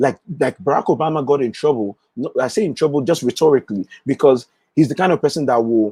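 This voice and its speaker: In a strong Nigerian accent, a man speaks at a fairly quick pace and fairly high pitch, his tone dark and mellow with lively intonation, in a dry, close sound with no echo. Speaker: political commentator, livestream host. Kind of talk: live stream commentary. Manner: animated.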